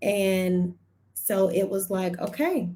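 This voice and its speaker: Somewhat breathy, a woman with an American accent speaks at a medium pitch in a dark, mellow tone. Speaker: personal finance strategist. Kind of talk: live stream testimony. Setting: live stream on social media. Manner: deliberately slow.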